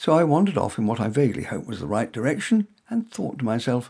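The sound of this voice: Delivered at a fast pace, the voice has big pitch swings, a slightly mellow tone, a slightly husky edge and some vocal fry. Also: man, medium pitch for a man.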